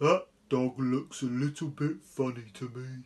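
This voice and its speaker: The speaker uses a put-on character voice at a low-to-middle pitch. The pace is moderate. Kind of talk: bedtime story. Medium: read story.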